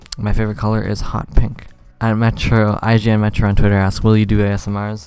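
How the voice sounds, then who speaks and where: Soft-spoken and very fast, a man talks at a fairly low pitch with flat, monotone intonation. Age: 20s. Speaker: Minecraft YouTuber. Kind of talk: casual Q&A chat. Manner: quiet, soft-spoken; trying to be louder than usual.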